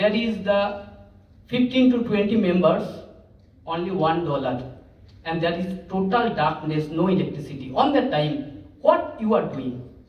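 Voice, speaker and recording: A man speaks in a high pitch with very wide pitch swings. Noticeable background noise and audible room echo surround him. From India, West Bengal (Asansol, rural). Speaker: teacher. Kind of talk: conference talk. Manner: halting.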